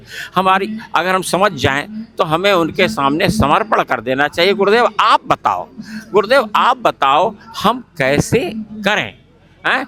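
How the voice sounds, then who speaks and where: With noticeable background noise behind him, a man with a high pitch speaks in a raised, projected voice at a very even loudness. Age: 70s. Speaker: spiritual organization coordinator, ex-air force. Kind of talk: interview, personal testimony. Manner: repetitive, earnest.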